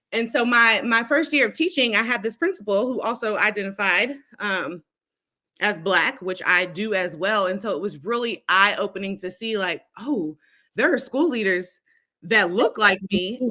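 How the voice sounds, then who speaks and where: A woman speaks loudly at a moderate pace and medium pitch, with lively intonation. Her tone is bright and sharp, and the recording is very clean with a silent background. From Kentucky (Lexington). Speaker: instructional coach, educator. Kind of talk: casual interview.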